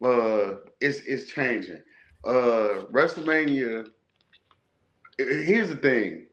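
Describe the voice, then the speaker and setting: Audible room echo surrounds a man who speaks very slowly, with long, frequent pauses and very wide pitch swings. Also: medium pitch for a man. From Chicago. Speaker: wrestling podcast host. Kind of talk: casual chat.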